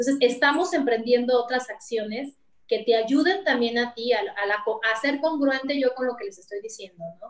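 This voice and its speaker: Against a quiet background, a woman with a high voice speaks at a moderate pace with lively intonation. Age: 40s. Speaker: insurance executive; interview guest. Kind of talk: interview. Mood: warm, motivational. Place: office. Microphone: video call.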